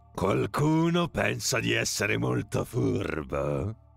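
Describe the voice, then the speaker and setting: A man's booming, put-on character voice at a very deep, low pitch, at a very slow pace, over faint background music. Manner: angry, commanding.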